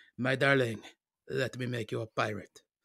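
A man's put-on character voice in a French accent, raspy and medium in pitch, at a moderate pace, with a dry, close sound and no echo. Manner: smooth, charming.

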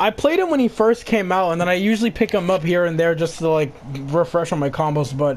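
Over noticeable background noise, a man talks at a fairly quick pace with hardly any pauses and very even loudness. His high-pitched voice has lively intonation and an animated tone. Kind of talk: casual gaming chat. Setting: online voice chat while gaming. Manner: animated, trash-talking.

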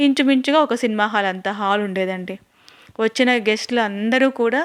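A woman talks with a fairly high pitch and ordinary pitch variation. The recording is very clean and dry, close with no echo, over a silent background. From Rayalaseema, Andhra Pradesh. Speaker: YouTube vlogger. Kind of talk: home tour vlog. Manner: chatty, addresses viewers directly.

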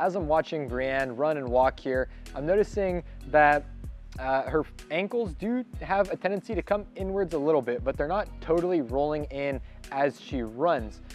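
Moderate-paced speech from a man, ordinary pitch variation, dry sound with no echo, faint music in the background. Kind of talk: interview answer. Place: shop.

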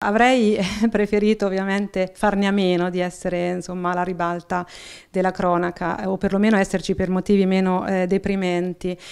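A woman's monotone, flat delivery at a moderate pace, in a very clean recording with a silent background. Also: medium pitch for a woman. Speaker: local politician. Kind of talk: interview. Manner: halting, many fillers.

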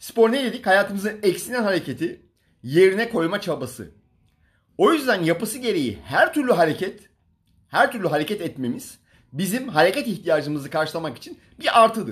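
His pitch is high for a man. This man's voice swings very widely in pitch. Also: moderate pace, quiet background. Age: 40s. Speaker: fitness coach. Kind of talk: livestream talk. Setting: Instagram live stream. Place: home room. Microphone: phone near.

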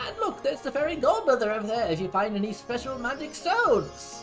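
A put-on character voice plays over clear background music. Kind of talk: comic paraphrase of game dialogue. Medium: virtual streamer. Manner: pompous, offhand, rambling.

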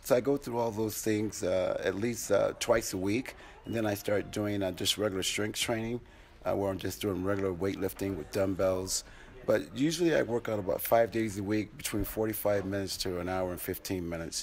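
Over light background noise, a man at a fairly low pitch speaks in an ordinary speaking voice at a moderate pace with ordinary pitch variation. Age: 60s. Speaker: athletic trainer, former NFL player; athletic trainer. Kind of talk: interview. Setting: film festival, busy venue. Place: home room. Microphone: handheld.

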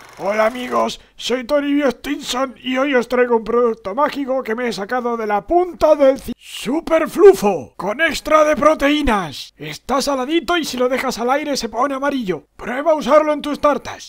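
At a moderate pace and with hardly any pauses, a man speaks at an extremely high pitch. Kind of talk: infomercial salesman. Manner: upbeat, salesy.

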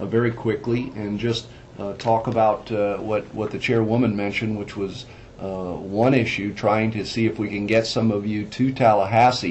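Speech moves at a moderate pace over light background noise. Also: man. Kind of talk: meeting report. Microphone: phone line.

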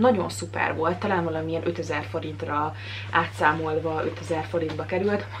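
Light background noise sits behind a woman with a very deep, low pitch. She talks at a moderate pace with very wide pitch swings. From Hungary, Szeged; Hungary. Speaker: vlogger. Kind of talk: casual vlog talk to camera. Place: home room. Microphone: phone near.

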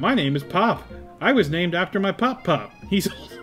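Clear music plays behind a man speaking at a moderate pace. He uses a put-on character voice with a high pitch. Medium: game stream.

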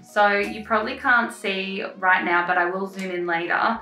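A woman's voice with audible room echo and faint music in the background. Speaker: craft tutor. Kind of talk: tutorial. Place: home room.

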